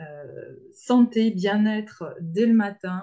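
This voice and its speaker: A woman speaks at a medium pitch. Her voice is somewhat breathy, with a dark, mellow tone. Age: 50s. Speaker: naturopath. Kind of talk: webinar presentation.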